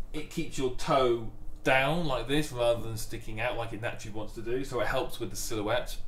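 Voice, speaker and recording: Amid light background noise and audible room echo, a man talks at a moderate pace. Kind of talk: tutorial. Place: workshop.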